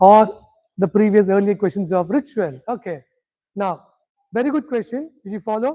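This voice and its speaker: In a Tamil accent, the speech moves at a moderate pace with long, frequent pauses. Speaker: spiritual teacher. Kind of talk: lecture.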